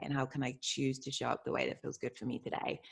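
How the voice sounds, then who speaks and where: In a very clean recording with a silent background, a woman with a British accent speaks in a very deep, low pitch with vocal fry and fairly even intonation. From England, Bristol area. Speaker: identity coach. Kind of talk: interview.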